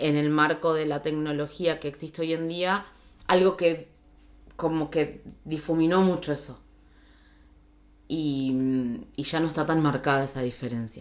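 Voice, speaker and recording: At a fairly slow pace, a woman talks with a very deep, low pitch and fairly even intonation. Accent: Argentine. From Argentina. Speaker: journalist and radio host. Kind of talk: interview answer.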